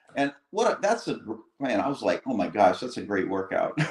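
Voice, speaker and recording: A man with a fairly high pitch at a moderate pace. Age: 60s. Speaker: cyclist and livestream guest. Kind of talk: casual chat. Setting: livestream.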